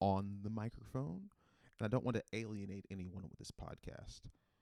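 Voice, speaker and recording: A man speaks with an American accent at a fairly low pitch. His pace is moderate, and the sound is dry and close with no echo. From North Carolina. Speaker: comedian podcast host. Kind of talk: comedic solo podcast. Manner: animated; hesitant, many fillers.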